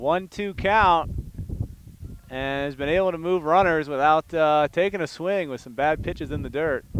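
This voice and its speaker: This man has a normal speaking voice, a fairly high pitch, ordinary pitch variation, and a moderate pace. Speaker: high school sports play-by-play announcer. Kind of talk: live commentary.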